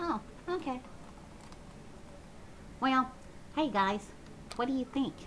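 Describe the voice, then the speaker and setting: A female-sounding put-on character voice speaks at a fairly slow pace and a high pitch. Long, frequent pauses break up the speech over clear background noise. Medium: solo performance. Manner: chatty, indignant.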